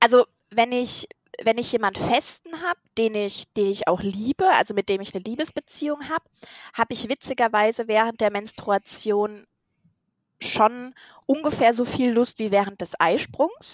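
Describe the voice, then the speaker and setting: This woman has a normal speaking voice with a fairly high pitch. She speaks at a moderate pace with ordinary pitch variation. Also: dry, close sound with no echo. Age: 30s. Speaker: podcast co-host. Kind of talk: casual chat.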